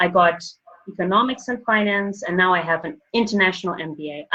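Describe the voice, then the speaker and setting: A woman with an African accent, medium pitch and a bright, sharp tone. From Botswana (born Zambia, schooled Zimbabwe). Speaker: banker and finance professional. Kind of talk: interview, personal story. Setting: podcast interview.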